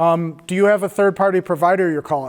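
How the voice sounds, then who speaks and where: This man's voice is high in pitch. He talks at a fairly quick pace with ordinary pitch variation. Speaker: cybersecurity workshop presenter. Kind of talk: workshop presentation.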